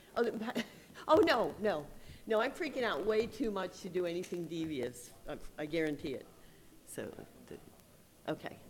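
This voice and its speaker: Pausing long and often, a woman of medium pitch speaks at a moderate pace with very wide pitch swings and audible room echo. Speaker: security conference speaker, blog editor. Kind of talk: conference talk.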